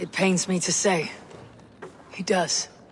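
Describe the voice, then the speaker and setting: A raspy, put-on character voice. Clear background noise runs behind it. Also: female-sounding voice, medium pitch for a woman. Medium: short film. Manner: blunt.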